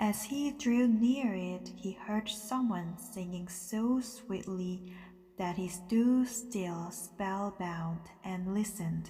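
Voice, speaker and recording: A woman at medium pitch speaking very slowly with ordinary pitch variation, over music in the background. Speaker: English teacher and interpreter/translator. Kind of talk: sleep story, bedtime story reading.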